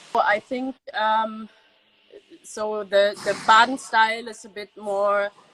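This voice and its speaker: A woman speaks at a very slow pace. Her fairly high voice has a dry, close sound with no echo. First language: German. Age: 20s. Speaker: winemaker's daughter. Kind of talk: interview. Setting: video call. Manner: halting.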